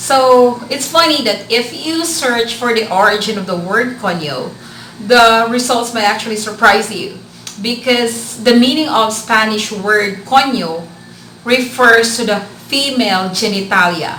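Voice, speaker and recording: A woman with a Filipino accent speaks at a fairly slow pace, her fairly high pitch showing ordinary variation. Audible room echo and noticeable background noise are in the recording. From Philippines, Bicol region. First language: Bikol. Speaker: vlogger. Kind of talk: casual vlog talk. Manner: hesitant with filler words.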